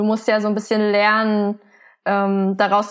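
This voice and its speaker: In a very clean recording with a silent background, the words come fairly slowly. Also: woman. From Germany. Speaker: illustrator and comic artist. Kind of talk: interview. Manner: soft-spoken.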